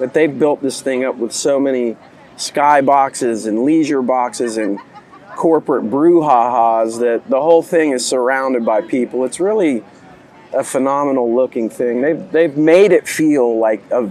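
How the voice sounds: A man speaks at a medium pitch with a gravelly, slightly mellow tone. His pace is fairly slow, and his pitch varies in an ordinary way.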